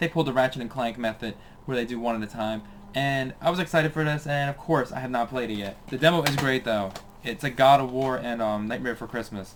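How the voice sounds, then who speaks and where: A man races along at a very fast pace with noticeable background noise behind him. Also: medium pitch for a man, ordinary pitch variation. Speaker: gaming youtuber. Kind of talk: casual video game collection showcase. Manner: casual, hesitant with fillers.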